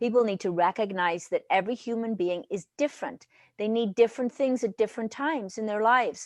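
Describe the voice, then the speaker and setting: A woman with a Welsh accent talks at a fairly quick pace and a fairly high pitch with ordinary pitch variation, in a dry, close sound with no echo. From Wales. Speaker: leadership consultant. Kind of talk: interview answer.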